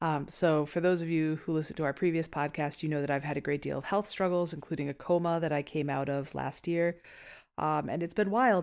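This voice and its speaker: A very clean recording with a silent background, at a fairly quick pace. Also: woman, very deep, low pitch for a woman. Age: 30s. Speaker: podcast co-host, former museum educator. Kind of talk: casual chat. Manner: animated.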